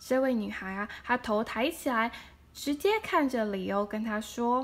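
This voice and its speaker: A woman speaks with a Chinese accent. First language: Mandarin Chinese. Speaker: storyteller; storybook reader. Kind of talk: reading aloud. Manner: animated; halting. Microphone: phone near.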